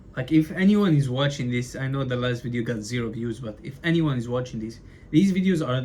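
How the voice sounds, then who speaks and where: A man speaks in a somewhat breathy voice at a medium pitch with ordinary pitch variation. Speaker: aspiring entrepreneur vlogger. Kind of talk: casual vlog monologue. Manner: stutters a lot; casual, filler-heavy.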